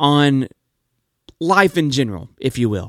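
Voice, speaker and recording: A man's plain, everyday voice with ordinary pitch variation at a moderate pace, in a dry, close sound with no echo on a very clean recording with a silent background. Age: 30s. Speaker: podcast host living with type 1 diabetes. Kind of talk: personal storytelling monologue. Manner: warm, upbeat.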